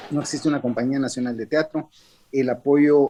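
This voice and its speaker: A man is speaking. His tone is dark and mellow. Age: 60s. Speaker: theatre director and actor. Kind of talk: interview. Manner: hesitant, many fillers.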